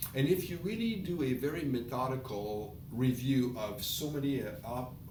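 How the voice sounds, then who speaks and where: A man of medium pitch speaks with lively intonation at a moderate pace, amid audible room echo and noticeable background noise. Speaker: online business presenter. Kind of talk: casual presentation.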